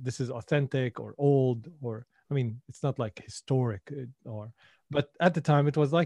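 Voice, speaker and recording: A man's somewhat breathy, dark, mellow voice at medium pitch and moderate pace, with ordinary pitch variation, in a dry, close sound with no echo and a quiet background. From Syria. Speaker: entrepreneur. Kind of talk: casual interview.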